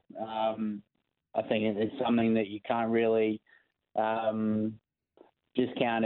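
Speaking at a medium pitch, a man with an Australian accent keeps a monotone, flat intonation. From born in England, raised partly in New Zealand, now plays for Australia. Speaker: professional cricketer. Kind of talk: interview. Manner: hesitant, many fillers.

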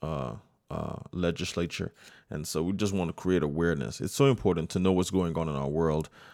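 In an American accent, a man speaks with a very deep, low pitch, lively intonation and vocal fry. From United States, Nigerian family. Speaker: podcast host and saxophonist. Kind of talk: solo inspirational monologue. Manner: hesitant, many fillers and repetitions.

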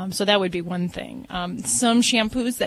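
A woman speaks in a medium pitch, somewhat breathy, with ordinary pitch variation. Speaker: veterinarian. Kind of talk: call-in advice show.

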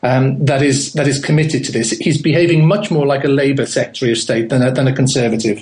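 Amid noticeable background noise, a man with a fairly high pitch talks at a very fast pace, with hardly any pauses and ordinary pitch variation. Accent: British. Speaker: home educator and education writer. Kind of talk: radio interview.

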